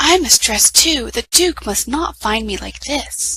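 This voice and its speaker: Using a put-on character voice, a woman speaks fairly slowly at a fairly high pitch. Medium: read story.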